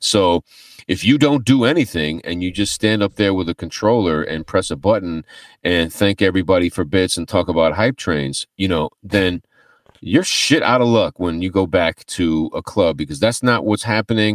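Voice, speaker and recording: A man with an American accent speaks at a moderate pace with a very deep, low pitch and ordinary pitch variation, dry and close with no echo on a very clean recording with a silent background. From US East Coast. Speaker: DJ and turntablist, DJ instructor. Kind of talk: casual interview.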